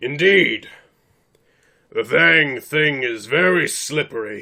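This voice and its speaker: Raspy and fairly high, a man's put-on character voice crawls along at a very slow pace. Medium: actual play. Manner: formal, blunt.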